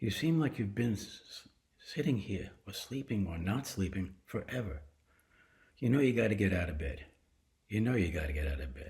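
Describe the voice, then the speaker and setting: Somewhat breathy and fairly low, a man's voice moves at a moderate pace with very wide pitch swings. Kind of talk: casual talk to camera.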